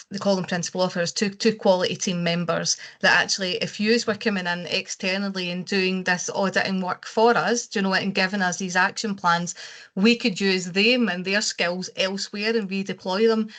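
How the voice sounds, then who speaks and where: Talking at a fairly quick pace with a Scottish accent, a woman keeps a medium pitch and a monotone, flat intonation. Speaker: care quality consultant. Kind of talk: webinar discussion.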